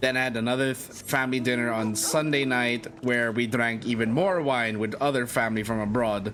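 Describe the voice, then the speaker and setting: A man's medium-pitched voice at a moderate pace, fairly even in intonation, with audible room echo and music in the background. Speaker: vtuber streamer. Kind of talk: let's play gaming stream.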